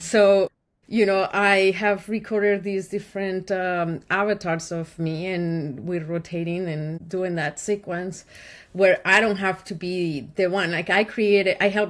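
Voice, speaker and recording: Speaking with a Spanish accent, a woman uses a medium pitch, fairly even intonation, and a fairly slow pace. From Colombia. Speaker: podcast host and marketing agency owner. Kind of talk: casual podcast interview.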